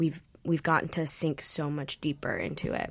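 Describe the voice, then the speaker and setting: A plain, everyday voice from a woman, fairly low in pitch, moves at a moderate pace on a very clean recording with a silent background. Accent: American. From Los Angeles, US. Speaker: stage actor. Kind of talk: casual interview chat.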